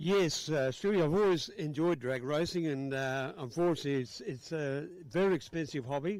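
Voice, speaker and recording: The speaker has an Australian accent and uses ordinary pitch variation. The delivery moves at a moderate pace with hardly any pauses. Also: man, fairly high pitch for a man. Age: 60s. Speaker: drag racing spectator. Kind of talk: casual interview. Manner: halting.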